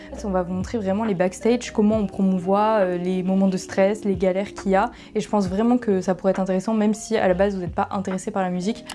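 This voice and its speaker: Noticeable background noise surrounds a woman speaking at a medium pitch. She talks at a very fast pace with hardly any pauses in a monotone, flat intonation. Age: 20s. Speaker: content creator and artist manager. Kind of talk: vlog. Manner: casual, hesitant with fillers.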